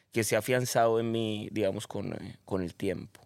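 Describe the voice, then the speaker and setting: A man speaks at a moderate pace and medium pitch, in an ordinary speaking voice. The recording is very clean, with a silent background. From Colombia, Cali. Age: 40s. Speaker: personal development facilitator. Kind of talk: casual chat.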